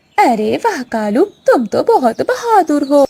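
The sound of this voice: A woman does a cartoonish character voice with a high pitch and very wide pitch swings. She speaks at a moderate pace.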